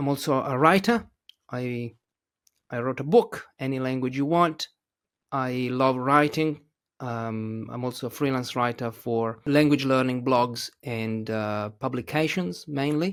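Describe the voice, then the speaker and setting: In an Italian accent, a man speaks at a fairly slow pace with a medium pitch and ordinary pitch variation. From Italy. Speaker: English teacher and author. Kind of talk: casual interview chat. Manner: hesitant, many fillers.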